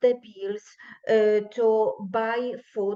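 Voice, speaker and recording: A woman with a Polish accent speaks at a fairly high pitch. Her tone is dark and mellow, with fairly even intonation. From Poland. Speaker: teacher. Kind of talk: conference speech. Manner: halting, many fillers.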